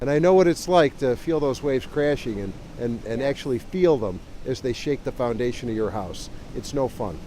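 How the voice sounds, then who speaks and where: A man with a plain, everyday voice and an American accent, lively intonation and a fairly quick pace. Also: medium pitch for a man. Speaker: multimedia journalist, TV news reporter. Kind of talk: TV news reporter stand-up and package narration. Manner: serious, informative package narration.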